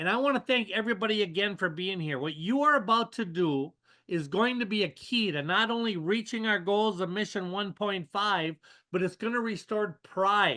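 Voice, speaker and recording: Over a quiet background, a man projects a raised voice at a high pitch with a bright, sharp tone. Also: ordinary pitch variation, moderate pace. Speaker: service club leader giving a motivational talk. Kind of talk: motivational talk on a webinar. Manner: energetic, rallying.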